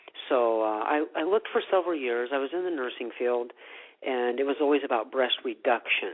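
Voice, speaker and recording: A man with an American accent at a fairly quick pace, fairly high in pitch, with ordinary pitch variation. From US Midwest (Iowa). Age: 50s. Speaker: retreat owner, former nurse. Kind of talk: interview. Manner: hesitant, many fillers.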